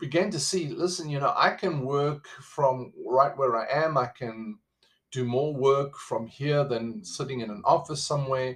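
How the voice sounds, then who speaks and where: This man speaks with a South African accent. His pitch is fairly high, with ordinary variation. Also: fairly slow pace. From South Africa, living in the USA. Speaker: podcast host. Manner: conversational, motivational.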